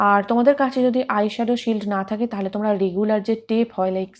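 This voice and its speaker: A woman speaks in a plain, everyday voice at a medium pitch, her intonation fairly even. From Bengal. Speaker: beauty vlogger. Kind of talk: tutorial. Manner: casual, friendly.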